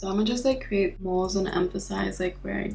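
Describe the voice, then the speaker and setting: Audible room echo with music in the background. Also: woman. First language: not English. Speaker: beauty vlogger. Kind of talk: tutorial. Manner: casual.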